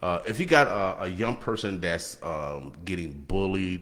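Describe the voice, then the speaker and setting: A man with a very deep, low voice talks at a fairly slow pace with ordinary pitch variation. Room echo is audible around him. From Nebraska. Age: 60s. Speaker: radio host. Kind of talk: casual chat. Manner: halting; animated.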